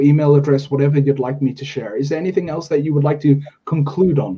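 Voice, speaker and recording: This man's voice is fairly high in pitch and somewhat breathy. Its tone is dark and mellow. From South Africa. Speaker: podcast host. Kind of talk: interview.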